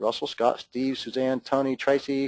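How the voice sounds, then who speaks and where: A medium-pitched man with an American accent, in a dry, close sound with no echo. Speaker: webinar host. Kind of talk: webinar sign-off. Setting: online webinar. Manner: casual, filler-heavy.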